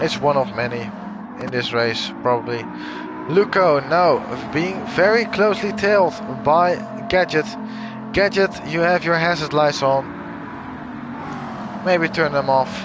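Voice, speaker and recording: A high-pitched man with a Dutch accent and lively intonation, fairly slow with long, frequent pauses, over music in the background. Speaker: sim racing commentator. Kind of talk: live commentary.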